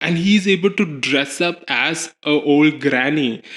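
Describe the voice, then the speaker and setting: A man speaks with a Kerala accent. His pitch is fairly high. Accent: Malayali. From Kerala, India (Cochin). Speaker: drag performer. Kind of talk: interview.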